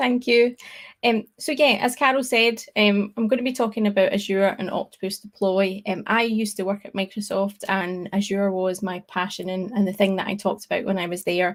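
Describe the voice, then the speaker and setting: Speaking fairly quickly with hardly any pauses, a woman with a Scottish accent keeps a medium pitch and fairly even intonation. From Scotland. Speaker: tech speaker, developer advocate. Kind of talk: tech talk presentation. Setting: online live stream.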